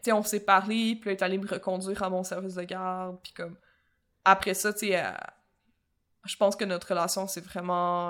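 In a Quebec accent, a woman speaks at medium pitch. Her intonation is monotone and flat. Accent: Québécois French. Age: 20s. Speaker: podcast co-host. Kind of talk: casual chat.

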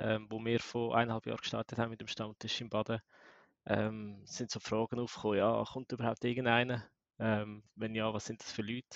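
A man with a Swiss accent speaks at a moderate pace and medium pitch with monotone, flat intonation. The sound is dry and close with no echo, and the background is quiet. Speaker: bitcoin community organizer. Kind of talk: casual panel discussion.

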